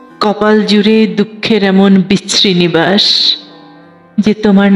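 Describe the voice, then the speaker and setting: A woman's medium-pitched voice in a sad tone, with music in the background. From Bangladesh. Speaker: poet. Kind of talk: poetry reading. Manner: emotional, sad.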